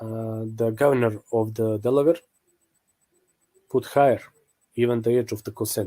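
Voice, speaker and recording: A man with a non-native accent has a dark, mellow tone. His intonation stays fairly even, and he leaves long, frequent pauses. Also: medium pitch for a man, moderate pace. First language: not English. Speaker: religious apologetics video maker. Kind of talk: online video commentary. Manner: halting, many fillers.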